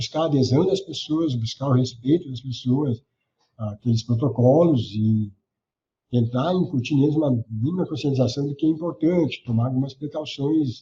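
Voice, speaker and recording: A man at medium pitch speaks at a moderate pace with ordinary pitch variation. His tone is dark, mellow and somewhat breathy. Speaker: government communications adviser. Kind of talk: interview answer. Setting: remote call.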